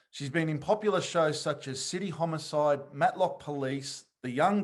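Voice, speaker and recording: Speaking in an ordinary speaking voice, a man talks fairly slowly at a fairly high pitch with ordinary pitch variation. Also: quiet background. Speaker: podcast host. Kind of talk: show introduction.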